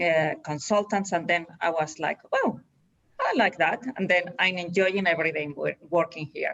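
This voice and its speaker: Using a Spanish accent, a woman speaks at a moderate pace and a fairly low pitch with fairly even intonation. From Spain. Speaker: executive search director. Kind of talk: interview. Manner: halting, with restarts.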